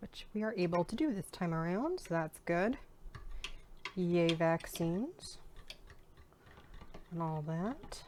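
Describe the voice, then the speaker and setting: A woman with a fairly low voice speaks at a very slow pace, leaving long, frequent pauses, her pitch varying in an ordinary way. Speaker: home cooking vlogger. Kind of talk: cooking tutorial. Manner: casual, chatty.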